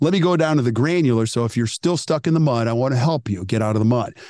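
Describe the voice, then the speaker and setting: Against a quiet background, a man speaks at a medium pitch with lively intonation, the sound dry and close with no echo. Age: 50s. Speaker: dental practice coach. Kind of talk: interview. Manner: animated.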